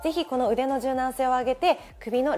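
Faint music plays in the background as a woman speaks in a high-pitched voice. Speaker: stretch trainer. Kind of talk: tutorial. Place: studio. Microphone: lapel.

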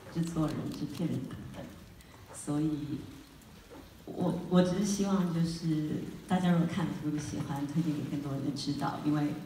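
Amid light background noise and audible room echo, a woman talks at a moderate pace with fairly even intonation. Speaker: film actress. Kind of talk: film premiere Q&A remarks. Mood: earnest, supportive. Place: hall.

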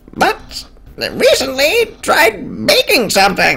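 Loud and strained, a woman shouts in a put-on character voice. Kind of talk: comic overacting. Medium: game stream. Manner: loud, excitable, shouting exclamations.

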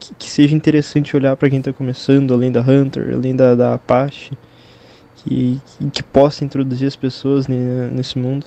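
Speaking at a moderate pace in a monotone, flat intonation, a man sounds dry with no echo. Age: 20s. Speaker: listener sending a question; vlogger reading viewer questions. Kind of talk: recorded voice message. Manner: halting. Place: home room.

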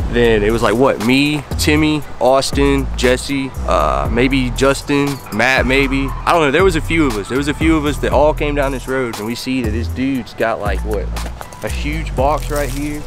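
With clear music in the background, the man's voice comes across dry, without any echo. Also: moderate pace. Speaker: vlogger. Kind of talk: casual vlog chat. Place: garden. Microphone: phone near.

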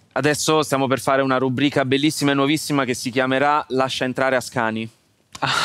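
The delivery is very fast and monotone, with flat intonation, very even loudness and a dry sound with no echo. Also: man, medium pitch for a man. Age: young. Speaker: podcast host. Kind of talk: casual interview. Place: studio.

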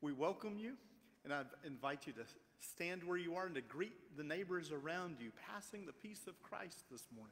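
A man at a moderate pace, with lively intonation. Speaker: pastor leading worship. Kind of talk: worship welcome and announcements. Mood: warm, welcoming. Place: church.

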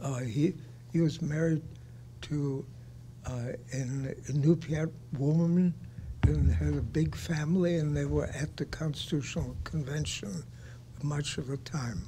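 Very slow speech broken by long, frequent pauses plays over light background noise. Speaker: audience member. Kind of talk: audience Q&A comment. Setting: conference room, live audience. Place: meeting room.

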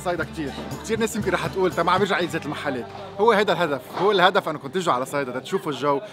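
Clear music plays in the background as the speaker talks at a very fast pace. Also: man. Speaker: food vlogger host. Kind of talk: casual vlog chat. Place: street.

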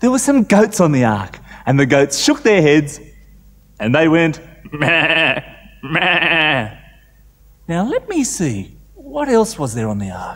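A man's very slow delivery with long, frequent pauses and very wide pitch swings. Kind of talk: storytelling to children. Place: studio. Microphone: lapel.

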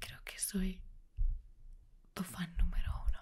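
A woman whispers, soft-spoken and somewhat breathy, at a very slow pace. Light background noise sits behind her. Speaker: content creator. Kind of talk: soft roleplay talk to the viewer. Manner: soft intimate ASMR whisper. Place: home room.

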